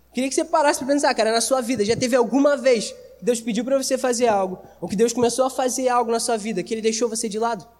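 A man talks at a very fast pace with an extremely high pitch and ordinary pitch variation. Noticeable background noise sits behind him. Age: 20s. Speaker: youth preacher. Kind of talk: sermon. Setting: church service with audience. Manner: casual, slangy.

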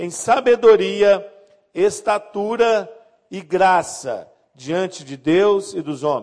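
A man speaks at a very slow pace in a high pitch. His intonation is lively. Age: 50s. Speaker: pastor. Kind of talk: sermon.

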